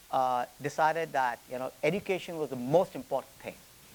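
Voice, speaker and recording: A man with an Indian accent, fairly high in pitch, with ordinary pitch variation, at a moderate pace. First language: Hindi. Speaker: business executive. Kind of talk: lecture. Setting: stage with audience. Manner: halting, with repetitions and fillers.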